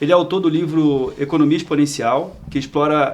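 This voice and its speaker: Here a man speaks in a fairly high pitch. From Rio de Janeiro, Brazil. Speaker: podcast host. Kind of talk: podcast interview.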